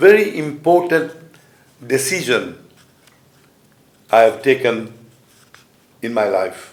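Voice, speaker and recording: A man at a very slow pace with lively intonation, in audible room echo. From Mauritius. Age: 70s. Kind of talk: conference speech. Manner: halting.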